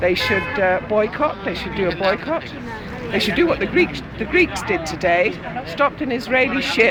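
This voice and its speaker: The speaker has a London accent and a moderate pace. Crowd noise can be heard in the background. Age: 60s. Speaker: protester. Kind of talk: street interview.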